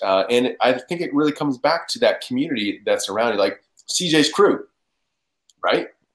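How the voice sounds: A man speaks at medium pitch with lively intonation. His fairly bright tone carries a slightly husky edge.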